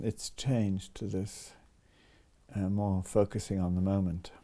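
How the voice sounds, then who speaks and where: This man's fairly low voice has a dark, mellow tone, captured in a very clean recording with a silent background. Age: 70s. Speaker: composer. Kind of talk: interview. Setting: recorded the morning after his birthday concert.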